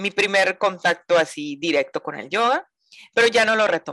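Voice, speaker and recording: A woman's medium-pitched voice with lively intonation, dry and close with no echo, over a quiet background. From Mazatlán, Sinaloa, northern Mexico. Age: 40s. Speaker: yoga teacher. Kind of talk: interview. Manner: talkative.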